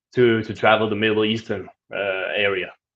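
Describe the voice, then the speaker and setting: At a moderate pace, a man speaks in a Danish accent. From Denmark. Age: 20s. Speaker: travel vlogger. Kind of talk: live stream Q&A. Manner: casual, with fillers.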